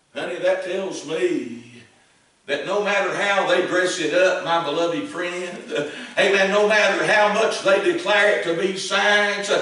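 Ordinary pitch variation under a strong room echo. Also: man, high pitch for a man. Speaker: Baptist preacher. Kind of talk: old-fashioned fiery sermon. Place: church.

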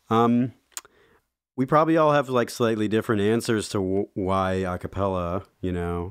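A man speaks at a moderate pace with an American accent, his pitch fairly low and its variation ordinary. It is an ordinary speaking voice. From Cleveland, Ohio, US. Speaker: a cappella singer. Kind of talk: casual interview. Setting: studio.

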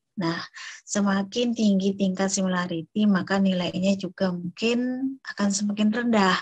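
Against a quiet background, a woman speaks with a somewhat breathy, monotone, flat delivery. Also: moderate pace, very even loudness. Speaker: university lecturer. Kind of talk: online lecture. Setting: video call. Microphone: unstable internet connection, audio lag; video call.

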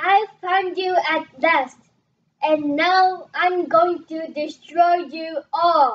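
A cackling, female-sounding put-on character voice, extremely high in pitch, at a very slow pace. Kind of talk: comic overacting. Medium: stage play. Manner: gloating, menacing, cackling.

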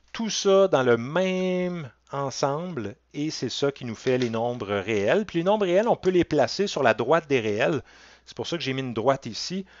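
In a Quebec accent, a man speaks at a fairly slow pace with very wide pitch swings and big swings in loudness, in a dry sound with no echo. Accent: Québécois French. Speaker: college math teacher. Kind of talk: lecture. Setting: recorded online class from home with webcam. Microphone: headset.

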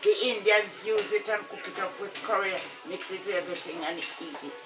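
Noticeable background noise sits behind a woman's voice. Her pitch varies in an ordinary way. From Jamaica. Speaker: retired teacher. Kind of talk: casual conversation about gardening. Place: home room. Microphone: phone near.

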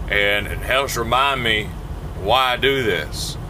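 A man speaks over noticeable background noise. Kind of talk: casual vlog chat. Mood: reflective, somewhat low. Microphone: phone near.

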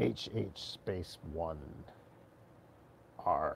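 A man's put-on character voice over clear background noise. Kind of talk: prank phone call.

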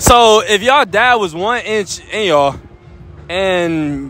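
This man speaks at a high pitch. His tone is bright and sharp.

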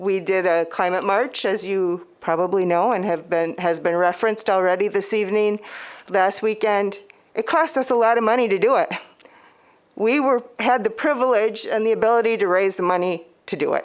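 At a moderate pace and very even loudness, a woman with an unremarkable speaking voice talks at a medium pitch with ordinary pitch variation. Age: 60s. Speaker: public commenter, climate activist. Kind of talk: public comment at city meeting. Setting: city commission meeting.

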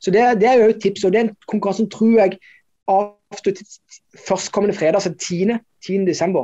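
A fairly slow pace against a quiet background. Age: 40s. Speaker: investment podcast co-host. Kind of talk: casual chat. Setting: office. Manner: halting. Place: office.

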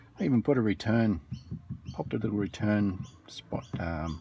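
A man's somewhat breathy, fairly low-pitched voice with a dark, mellow tone and ordinary pitch variation, in a dry sound with no echo over light background noise. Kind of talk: casual vlog chat. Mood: dry, joking. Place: garden. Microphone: phone near.

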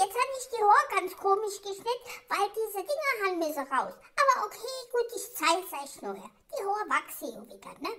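A put-on character voice squeaks out at an extremely high pitch, at a moderate speed. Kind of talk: comedic pet voice-over monologue. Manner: indignant, chatty.

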